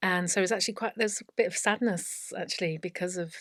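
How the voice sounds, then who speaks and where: A woman with an English Midlands accent, medium in pitch, at a fairly quick pace. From English Midlands, Leicestershire. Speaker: teacher and former royal housemaid. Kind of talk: interview storytelling. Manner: animated.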